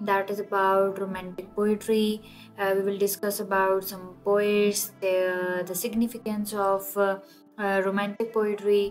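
With music in the background, a woman of medium pitch speaks in a non-native accent at a fairly slow pace with monotone, flat intonation. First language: not English. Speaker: literature lecturer. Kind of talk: educational lecture.

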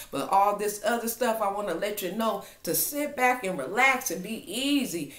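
With audible echo in the room, a woman talks at a moderate speed. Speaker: online prophetic minister. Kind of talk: fervent prophetic exhortation, declaring God's protection over listeners. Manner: impassioned and insistent, repeating 'in Jesus' name' like a refrain; warm, intimate address to listeners as family. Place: home room. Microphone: webcam.

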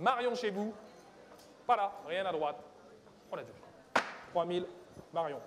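Pitched high, a man talks with long, frequent pauses and big swings in loudness. Audible room echo and noticeable background noise surround his voice. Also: ordinary pitch variation, fairly slow pace. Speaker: auctioneer. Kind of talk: live auction calling.

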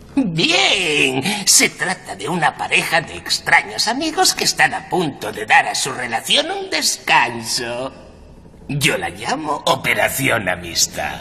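A put-on character voice moves along at a fairly slow pace. Clear background noise sits behind it. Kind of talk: horror host showmanship. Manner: gleeful, punning, macabre.

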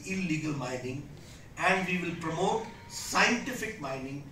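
A man speaks at a fairly slow pace and high pitch, with ordinary pitch variation. The room echo is audible, and there is light background noise. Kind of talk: political speech. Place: hall. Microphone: podium.

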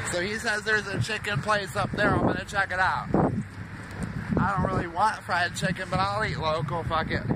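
Someone with an American accent speaks at a fairly quick pace over loud background noise. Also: man, dry sound with no echo. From Miami, Florida. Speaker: vlogger running a joke campaign. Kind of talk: casual vlog. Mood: casual, offhand. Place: street. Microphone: phone near.

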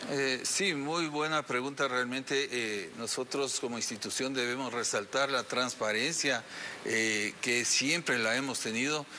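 Over light background noise, a man talks at a fairly slow pace with ordinary pitch variation and very even loudness. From Ecuador. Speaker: police general; interviewee. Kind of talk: TV interview. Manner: hesitant, many fillers. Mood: serious, firm. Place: studio.

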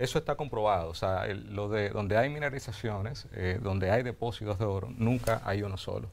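With a Dominican accent, a man talks at a fairly quick pace, his fairly low voice carrying fairly even intonation. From Dominican Republic, Azua. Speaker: mining company executive. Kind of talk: TV interview. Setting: TV studio. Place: studio. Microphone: lapel.

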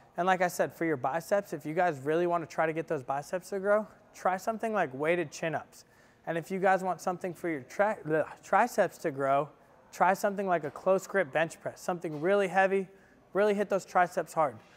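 At a fairly quick pace, a man talks in a high pitch with ordinary pitch variation. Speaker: fitness vlogger. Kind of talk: tutorial. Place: gym. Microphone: camera far.

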